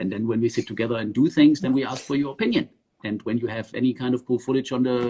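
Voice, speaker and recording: In a German accent, a man rushes along at a very fast pace, his tone dark and mellow and his intonation fairly even. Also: medium pitch for a man. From southern Germany (Swabia). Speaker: underwater filmmaker. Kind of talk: casual interview. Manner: hesitant with many fillers.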